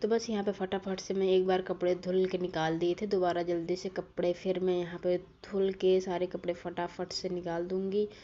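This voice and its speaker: A woman's voice has a dark, mellow tone and monotone, flat intonation. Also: medium pitch for a woman, moderate pace. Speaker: vlogger. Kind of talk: vlog voiceover narration. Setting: home. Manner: casual.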